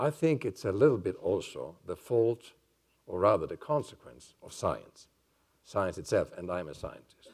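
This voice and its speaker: Big swings in loudness mark a man's speech at a moderate pace. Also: quiet background. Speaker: neuroscientist and psychiatrist. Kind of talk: lecture. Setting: stage with audience. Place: hall.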